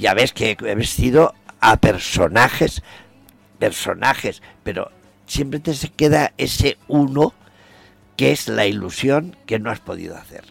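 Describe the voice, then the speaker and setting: A man talks at a fairly slow pace, his loudness swinging widely. Music plays in the background, and the sound is dry and close with no echo. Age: 80s+. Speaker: traditional costume designer. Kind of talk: interview.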